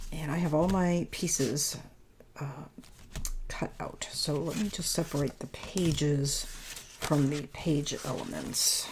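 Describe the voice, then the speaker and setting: This woman's voice is very deep and low, somewhat breathy and soft-spoken. She speaks at a very slow pace. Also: ordinary pitch variation. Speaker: paper crafting youtuber. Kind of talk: tutorial. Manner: halting, self-correcting. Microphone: new microphone.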